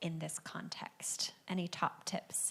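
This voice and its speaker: With an American accent, a woman speaks at a fairly low pitch in a bright, sharp tone marked by vocal fry. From United States. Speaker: panel moderator. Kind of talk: panel moderation. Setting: event with audience.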